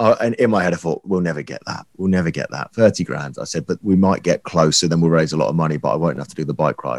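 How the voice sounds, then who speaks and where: A man with a very deep, low pitch and vocal fry, very fast with hardly any pauses, big swings in loudness, ordinary pitch variation, and a dry, close sound with no echo. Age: 20s. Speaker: radio presenter. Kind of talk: casual chat.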